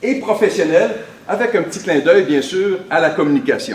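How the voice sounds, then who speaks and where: A man with a Quebec accent speaks in an animated tone. There is audible room echo and noticeable background noise. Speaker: motivational speaker. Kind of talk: motivational conference talk. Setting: stage with audience. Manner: trying to speak slowly.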